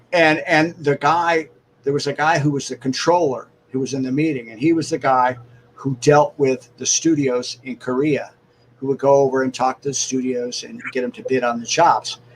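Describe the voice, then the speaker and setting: This man has an ordinary speaking voice, fairly high in pitch, at a moderate pace. His intonation is fairly even, with big swings in loudness. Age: 60s. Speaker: cartoonist and animator. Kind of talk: casual interview chat.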